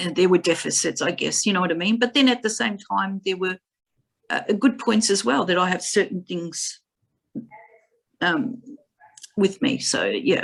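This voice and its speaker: A woman talks with an Australian accent and lively intonation. She leaves long, frequent pauses. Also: medium pitch for a woman, moderate pace. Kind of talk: interview. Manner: halting, word-finding pauses and repetitions.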